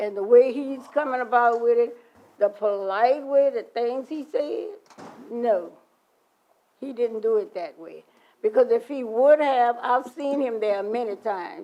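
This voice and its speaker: A dark, mellow voice with an American accent speaks fairly slowly, its loudness swinging widely. The pitch varies in an ordinary way. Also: woman. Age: 70s. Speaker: member of the public at council meeting. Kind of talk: public comment, heated dispute. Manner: animated.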